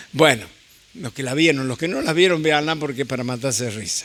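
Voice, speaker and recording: A man's fairly high-pitched voice, with ordinary pitch variation, comes through noticeable background noise. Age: 70s. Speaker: visiting preacher. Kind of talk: sermon.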